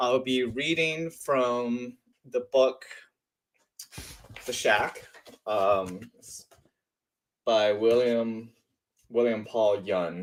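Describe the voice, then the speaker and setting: Speaking at a very slow pace, a man uses ordinary pitch variation and takes long, frequent pauses. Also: medium pitch for a man. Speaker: audiobook reader. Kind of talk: casual talk to camera.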